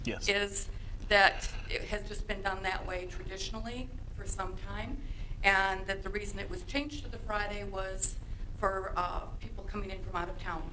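A woman speaks at a moderate pace while light noise runs in the background. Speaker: parent giving public comment. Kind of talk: public comment address. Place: meeting room. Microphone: podium.

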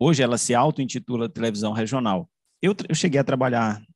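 A man talks at a fairly quick pace with ordinary pitch variation, and the sound is dry with no echo. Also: quiet background. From Caxias, Maranhão, Brazil; Maranhão, Brazil. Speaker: journalist and media researcher; journalist. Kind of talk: academic presentation. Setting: video call. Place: home room. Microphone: video call.

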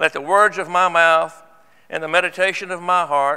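A man's high, bright, sharp voice at a moderate pace, fairly even in intonation, against a quiet background. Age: 70s. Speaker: church elder; church elder preaching. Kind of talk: sermon. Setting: church. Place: church. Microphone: lapel.

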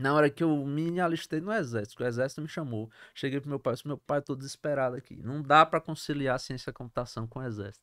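A man speaks at a very fast pace with hardly any pauses, his pitch fairly high and its variation ordinary, over a quiet background. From Brazil, Sergipe (interior town, then Aracaju); Sergipe, Brazil. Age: 40s. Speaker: entrepreneur; podcast guest. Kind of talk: interview. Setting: studio. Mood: animated, laughing at times. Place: studio. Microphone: studio mic.

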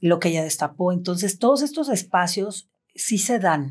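A woman speaks at a very slow pace in a fairly low pitch. The background is quiet. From Mexico, Cancún; Mexico. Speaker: abuse survivor; podcast guest or host. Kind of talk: testimony. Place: studio.

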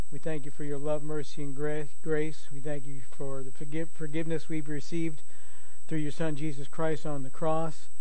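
This man talks in a flat monotone, and the sound is dry with no echo. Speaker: pastor. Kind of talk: sermon. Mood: calm, earnest. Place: church. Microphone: headset.

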